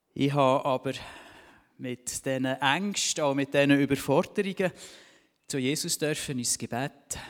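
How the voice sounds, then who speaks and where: Pausing long and often, the speaker goes at a fairly slow pace with ordinary pitch variation. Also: man, fairly high pitch for a man. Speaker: church member giving testimony, vocational trainer. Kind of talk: testimony.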